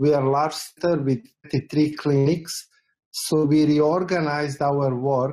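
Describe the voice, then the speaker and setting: Over a quiet background, a man talks in a dark, mellow tone with monotone, flat intonation. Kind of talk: panel discussion answer. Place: home room. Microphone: video call.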